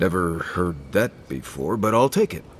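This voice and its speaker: A man's put-on character voice, very deep and low, at a moderate pace amid clear background noise. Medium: video game.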